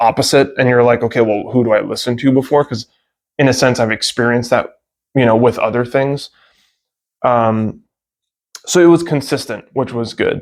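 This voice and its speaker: Fairly even intonation at a fairly quick pace, broken by long, frequent pauses. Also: man. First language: Greek. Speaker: sport shooting hobbyist vlogger. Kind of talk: casual video review. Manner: hesitant, many fillers.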